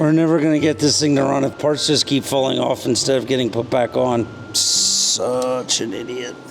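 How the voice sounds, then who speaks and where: A man with an American accent speaks at a moderate pace in a medium pitch, his intonation fairly even, over noticeable background noise. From Pennsylvania, US (Pennsylvania Dutch). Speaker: motorcycle mechanic, video host. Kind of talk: casual hands-on workshop chat.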